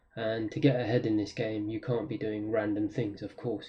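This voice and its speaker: With a London accent, a man talks at a fairly quick pace. His voice is somewhat breathy and his intonation fairly even. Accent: British (London). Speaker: trader. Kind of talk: trading tutorial. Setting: wearing a mask on camera. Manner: frequent fillers (um, uh).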